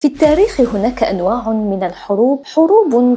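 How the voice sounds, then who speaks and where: A high-pitched woman with lively intonation at a fairly slow pace, music playing in the background. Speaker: storyteller. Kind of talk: history documentary narration.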